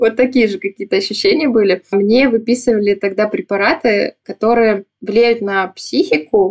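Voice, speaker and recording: A woman's calm voice at medium pitch, moderate pace and fairly even intonation. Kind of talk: interview testimony.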